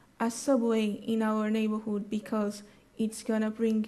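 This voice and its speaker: Somewhat breathy and fairly high, a woman's voice stays in a flat monotone with a dark, mellow tone. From Brazil, Rio de Janeiro. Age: 20s. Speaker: conference speaker. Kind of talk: audience Q&A. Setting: conference stage with audience. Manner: halting.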